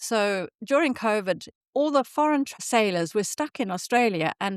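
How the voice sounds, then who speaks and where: With a Zimbabwean accent and lively intonation, a woman speaks at a moderate pace in a dry, close sound with no echo over a quiet background. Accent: southern African (Zimbabwean). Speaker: podcast host. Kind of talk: casual chat.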